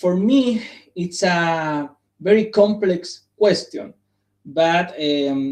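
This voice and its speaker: Speaking very slowly, a man uses a high voice with ordinary pitch variation. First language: Spanish. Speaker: psychologist presenting at academic symposium. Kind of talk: conference presentation. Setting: live stream. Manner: halting.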